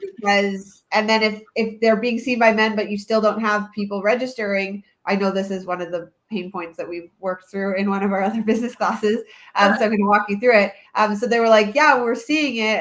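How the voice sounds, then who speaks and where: A woman with a Canadian accent and a plain, everyday voice talks at a fairly quick pace. Her pitch is fairly high, and her intonation fairly even. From Canada, Toronto area. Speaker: childbirth educator, webinar host. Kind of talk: live webinar.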